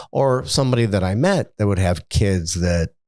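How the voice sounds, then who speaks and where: Recorded very cleanly against a silent background, a man with an American accent and a very deep, low pitch talks at a fairly slow pace in a dry, close sound with no echo. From Niagara Falls, New York, US. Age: 60s. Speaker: retired businessman. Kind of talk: interview. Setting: studio.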